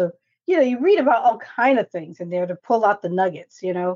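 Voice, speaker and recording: Talking at a fairly quick pace, a woman with an American accent and an ordinary speaking voice holds a medium pitch. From New York. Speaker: national security expert. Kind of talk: casual chat.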